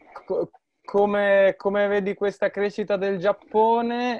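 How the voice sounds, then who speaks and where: A man is speaking. His pace is fairly slow. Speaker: student and amateur rugby player. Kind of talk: interview.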